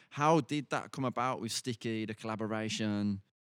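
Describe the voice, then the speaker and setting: A man with a normal speaking voice and a fairly low pitch talks at a moderate pace, the sound dry and close with no echo. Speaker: podcast host. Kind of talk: interview conversation.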